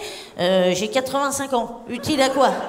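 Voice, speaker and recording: A woman talks at a fairly slow pace. Noticeable background noise and audible room echo surround her voice. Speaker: stand-up comedian. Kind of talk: stand-up. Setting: stage with audience. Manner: animated.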